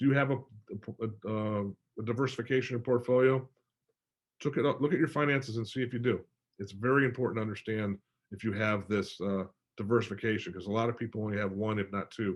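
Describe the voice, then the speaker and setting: This man's voice sits at a medium pitch and shows ordinary pitch variation. He talks at a fairly quick pace. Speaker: financial advisor. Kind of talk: webinar presentation. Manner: fast; animated.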